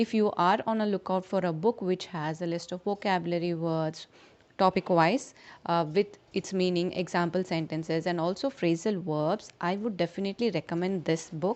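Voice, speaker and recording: An unremarkable speaking voice from a woman, fairly low in pitch, with fairly even intonation at a moderate pace. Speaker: English teacher. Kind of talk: casual talk to camera.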